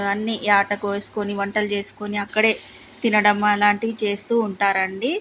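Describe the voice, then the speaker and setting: A woman with a Telangana accent speaks at a medium pitch in a monotone, flat intonation, with noticeable background noise. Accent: Telangana Telugu dialect. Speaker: mother explaining festival. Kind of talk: guided tour explanation. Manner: polite, conversational.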